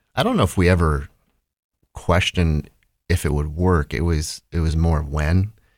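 On a very clean recording with a silent background, a man with a Midwestern US accent and a very deep, low pitch speaks at a moderate pace with fairly even intonation and long, frequent pauses. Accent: US Midwest. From Ohio, Holmes County. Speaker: business owner. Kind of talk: interview.

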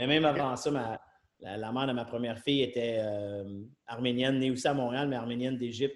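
This man has an unremarkable speaking voice at a medium pitch, talking at a fairly quick pace with fairly even intonation. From Quebec, Trois-Rivières. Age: 40s. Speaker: serial entrepreneur. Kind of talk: casual interview.

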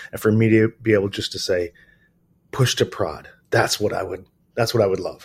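The voice carries an American accent and sounds somewhat breathy. It keeps a moderate pace and fairly even intonation, with long, frequent pauses. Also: man, fairly low pitch for a man. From US Midwest, Detroit, Michigan. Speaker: software security company founder. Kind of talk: casual interview.

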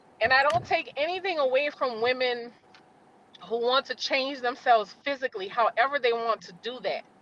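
In a dry, close recording with no echo but noticeable background noise, a woman speaks at a moderate pace in a high, animated voice. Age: 40s. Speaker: author. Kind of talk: casual chat.

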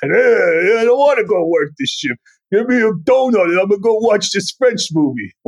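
A man puts on a gruff character voice with a New York accent. His pitch is high, and his pace is moderate. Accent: New York, American. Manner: bored.

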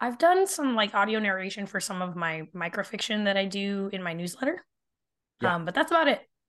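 With an American accent and an ordinary speaking voice, a woman at medium pitch talks at a fairly quick pace with lively intonation over a quiet background. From Arizona. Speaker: speculative fiction author. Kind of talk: casual chat.

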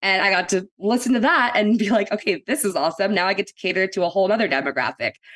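In an American accent, a woman speaks at medium pitch with ordinary pitch variation and an unremarkable speaking voice, the sound dry and close with no echo against a quiet background. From Texas (Austin and San Antonio). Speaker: radio marketing director, former on-air personality. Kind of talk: interview conversation.

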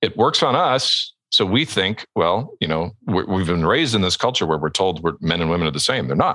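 A man with very deep, low pitch and a bright, sharp tone speaks at a moderate pace, with lively intonation and vocal fry. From Alberta, Canada. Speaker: ghostwriting agency owner and author. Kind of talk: podcast interview.

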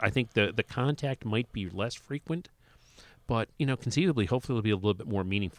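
In an American accent, a man with medium pitch talks at a very fast pace with lively intonation, and the sound is dry and close with no echo. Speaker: longtime comic shop customer. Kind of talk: casual chat. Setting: studio.

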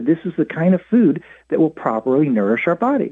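A man with an American accent, a fairly high pitch, very wide pitch swings and a fairly quick pace. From US. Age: 60s. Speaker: author and psychologist. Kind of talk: interview.

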